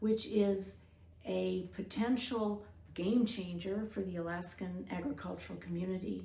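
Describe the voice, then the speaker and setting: Over noticeable background noise and audible room echo, a woman with an American accent speaks at a fairly slow pace. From US Midwest. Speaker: doctor and researcher hosting a documentary. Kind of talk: scripted narration.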